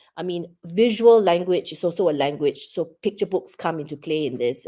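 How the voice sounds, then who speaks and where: Her tone is dark and mellow, her pitch fairly low for a woman. Her voice swings very widely in pitch. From Singapore. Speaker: children's book writer. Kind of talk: interview. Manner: halting.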